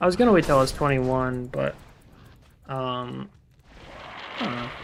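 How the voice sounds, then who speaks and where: Over background music, a man talks at a moderate speed. His voice sits at a medium pitch and rises and falls by a normal amount. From Utah. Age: 20s. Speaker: video game streamer. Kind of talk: casual chat. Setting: live stream.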